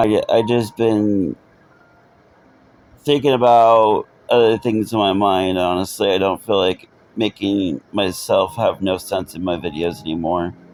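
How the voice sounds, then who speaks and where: The man's pitch is fairly low, with ordinary variation. He talks at a fairly slow pace. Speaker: gaming video creator. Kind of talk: gameplay commentary. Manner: quiet, subdued; halting, with repetitions.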